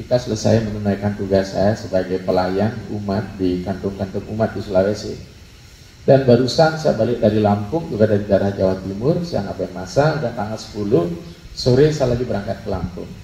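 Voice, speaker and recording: Speaking at a fairly quick pace, a man uses a fairly low pitch with ordinary variation. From Bali, Denpasar. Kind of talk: religious talk.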